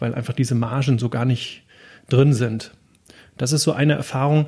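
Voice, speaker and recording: A dark, mellow, somewhat breathy tone with fairly even intonation. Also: man. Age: 40s. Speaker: logistics entrepreneur. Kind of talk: interview. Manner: hesitant, many filler sounds.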